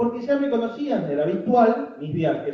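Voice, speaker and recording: This man talks at a moderate pace in a high voice, and his pitch swings very widely. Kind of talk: public talk.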